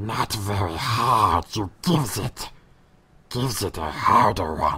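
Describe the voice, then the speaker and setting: The voice is a put-on character with a low pitch and a growl. It moves at a fairly slow pace. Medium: audio drama. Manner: reversed word order, broken grammar.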